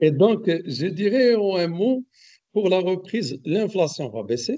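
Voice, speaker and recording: At a very slow pace, a man speaks in a high pitch with a dark, mellow tone. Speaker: economics expert speaker. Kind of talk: webinar lecture. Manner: hesitant, many fillers; loud, projecting voice.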